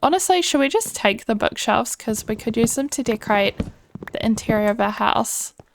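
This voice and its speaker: In a New Zealand accent, a woman talks at a moderate pace in a fairly high pitch, her tone relaxed and the sound dry and close with no echo. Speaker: gaming YouTuber. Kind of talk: casual gameplay commentary. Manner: relaxed, chatty.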